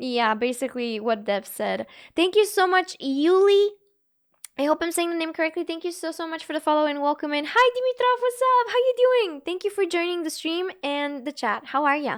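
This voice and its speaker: In a Bulgarian accent, a woman speaks at an extremely high pitch with an animated tone and very wide pitch swings. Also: fairly quick pace. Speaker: gaming streamer. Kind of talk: casual live stream chat.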